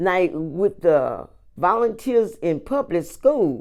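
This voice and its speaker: A woman with lively intonation and an American accent, against a quiet background. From Houston, Texas. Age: 70s. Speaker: community coordinator. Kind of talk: oral history interview. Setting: recorded interview.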